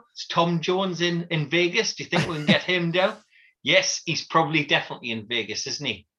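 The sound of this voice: A man talks at a fairly quick pace with fairly high pitch and ordinary pitch variation. His tone is bright and sharp, with a slightly husky edge.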